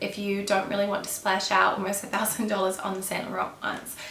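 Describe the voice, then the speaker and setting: Over noticeable background noise, a woman with an Australian accent speaks very fast at a medium pitch. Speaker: fashion YouTuber. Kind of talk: casual talk to camera.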